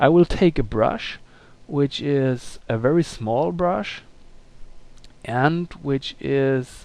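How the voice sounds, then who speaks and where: A man's very slow delivery with long, frequent pauses, lively intonation and a non-native accent. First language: not English. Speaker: illustrator. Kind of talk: tutorial. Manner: halting, many fillers.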